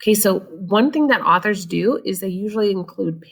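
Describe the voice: The passage comes through as plain reading aloud.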